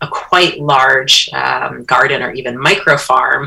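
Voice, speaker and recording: A woman with an American accent at a fairly slow pace, over noticeable background noise. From upstate New York. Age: 40s. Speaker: social designer and educator. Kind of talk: radio interview.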